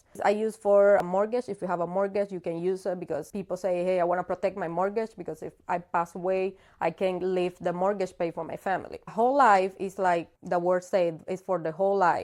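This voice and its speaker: In a Cuban accent, a woman talks at a fairly quick pace with a medium pitch. Her intonation is fairly even, and the recording is very clean with a silent background. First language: Spanish. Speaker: insurance broker. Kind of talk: casual interview.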